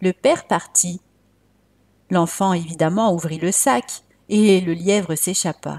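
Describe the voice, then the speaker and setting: On a very clean recording with a silent background, a woman speaks at a medium pitch and a very slow pace, her dark, mellow tone showing ordinary pitch variation in a dry, close sound with no echo. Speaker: storyteller. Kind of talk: bedtime storytelling, guided relaxation intro then folk tale narration. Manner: soothing, calm, gentle; warm, inviting.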